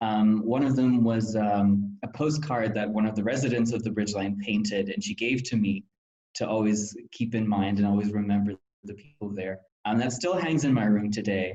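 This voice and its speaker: With an American accent, a man speaks at a fairly low pitch in a dark, mellow tone, his pitch varying in an ordinary way. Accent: American accent despite being German. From Germany. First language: German. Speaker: former volunteer counselor, student. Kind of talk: interview reflection.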